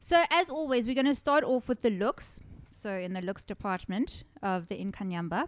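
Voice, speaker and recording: A woman's fairly high voice with very wide pitch swings at a moderate pace, in a dry, close sound with no echo. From South Africa. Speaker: horror podcast host. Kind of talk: casual chat. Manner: animated.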